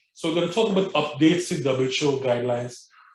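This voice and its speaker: Here a man talks at a very fast pace. His voice is somewhat breathy. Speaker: physician lecturer. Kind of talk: lecture.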